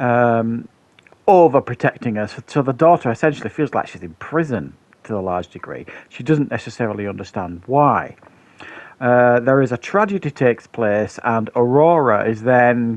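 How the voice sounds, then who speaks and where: Big swings in loudness from a man at a moderate pace. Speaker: film reviewer. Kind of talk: film review commentary. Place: home room. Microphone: headset.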